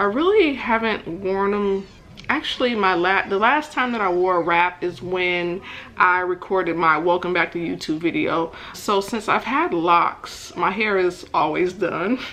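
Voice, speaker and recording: At a fairly slow pace, a woman speaks while noticeable background noise carries on. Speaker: beauty vlogger. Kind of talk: tutorial. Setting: voiceover. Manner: chatty, casual.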